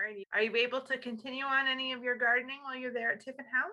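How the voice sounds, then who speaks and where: Against noticeable background noise, a woman with a high pitch uses a raised, projected voice at a very fast pace with fairly even intonation. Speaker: library interviewer. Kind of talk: interview questions.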